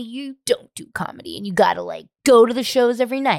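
This woman talks very fast in a high pitch. She uses a put-on character voice. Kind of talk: casual, bro-y.

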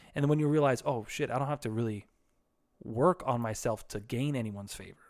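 Over a very clean recording with a silent background, a man of medium pitch talks at a fairly quick pace with ordinary pitch variation. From US, raised in church. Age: 30s. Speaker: podcast co-host, former church worker. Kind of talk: casual chat. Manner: animated.

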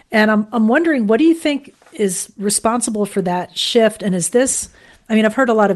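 Against a quiet background, a woman with an American accent speaks in a plain, everyday voice at a fairly quick pace with ordinary pitch variation. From Florida, Fort Lauderdale. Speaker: radio program developer and interviewer. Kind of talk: interview, casual chat.

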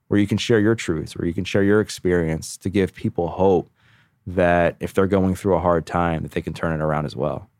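On a very clean recording with a silent background, a man with a very deep, low pitch speaks at a fairly quick pace and with fairly even intonation. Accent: American. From Baltimore, Maryland, US. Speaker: podcast host and personal trainer in recovery. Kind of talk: interview, personal testimony.

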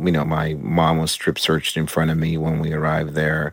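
A man's very deep, low voice, flat and monotone, at a moderate pace over noticeable background noise. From Cuba. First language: Spanish. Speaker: cartoonist and author. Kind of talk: interview.

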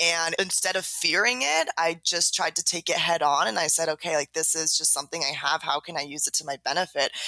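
This voice has a Californian accent and ordinary pitch variation, with hardly any pauses. The sound is dry and close with no echo, though there is noticeable background noise. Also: woman, fairly low pitch for a woman. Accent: Californian American. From US West Coast, San Diego, California. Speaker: author. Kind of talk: interview.

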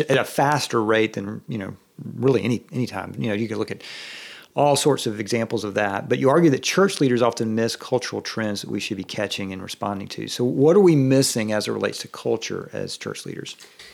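In a Southern US accent, a man speaks very fast at a medium pitch with ordinary pitch variation. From US South. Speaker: pastor and guest interviewer. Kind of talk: casual interview chat. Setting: office.

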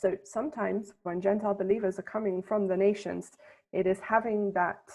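Speaking in a British accent, a woman keeps a moderate pace and a medium pitch. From England. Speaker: Bible scholar and tour guide. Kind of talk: interview. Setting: remote call from Jerusalem.

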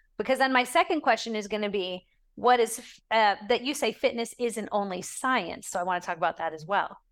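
A woman with a plain, everyday voice speaks at a fairly high pitch and a fairly quick pace, with lively intonation. Her loudness swings widely on a very clean recording with a silent background. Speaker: podcast host and wellness ministry founder. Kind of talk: interview.

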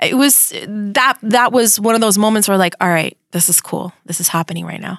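Speaking in an American accent, a woman of medium pitch sounds animated, with ordinary pitch variation at a moderate pace. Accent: Miami Cuban American English. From Miami, Florida (Cuban American, Hialeah). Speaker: radio host. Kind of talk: casual interview.

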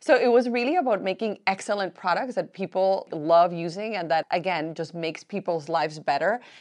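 A woman with a Spanish accent, fairly low in pitch, at a moderate pace with ordinary pitch variation against a quiet background. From Colombia. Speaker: beauty entrepreneur. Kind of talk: panel interview.

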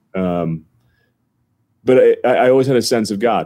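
A man's dark, mellow tone with an American accent. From northern New Jersey. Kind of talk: interview.

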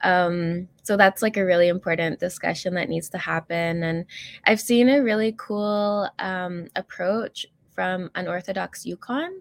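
A woman with a Canadian accent and a plain, everyday voice, medium in pitch with ordinary pitch variation, at a fairly slow pace on a very clean recording with a silent background. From northern Alberta, Canada. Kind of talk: interview.

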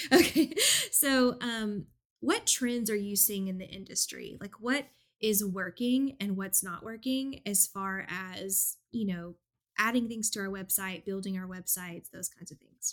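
Here is a woman with an unremarkable speaking voice at a medium pitch and ordinary pitch variation. She speaks at a fairly slow pace on a very clean recording with a silent background. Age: 30s. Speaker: podcast host, business coach. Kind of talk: casual interview chat.

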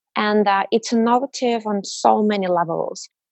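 This woman talks in a Russian accent. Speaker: mobile industry program director. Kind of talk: interview.

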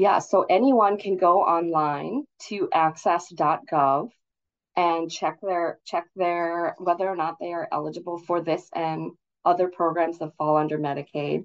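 A woman's fairly low voice, fairly slow in pace, with fairly even intonation. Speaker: state health official. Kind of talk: radio interview. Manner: frequent fillers, somewhat halting.

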